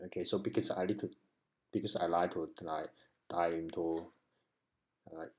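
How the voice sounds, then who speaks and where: A man with a non-native accent speaks in a very deep, low voice. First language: not English. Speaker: web developer learner. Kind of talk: tutorial. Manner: halting.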